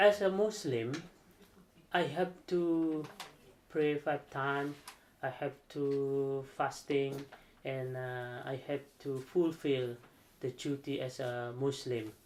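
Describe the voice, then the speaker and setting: Very slowly and with long, frequent pauses, a man with an Indonesian accent talks at a fairly high pitch with ordinary pitch variation. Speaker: aerospace engineer. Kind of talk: interview. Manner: halting.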